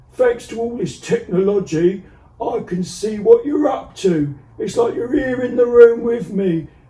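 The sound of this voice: Pitched extremely high, this man's voice is a put-on character voice.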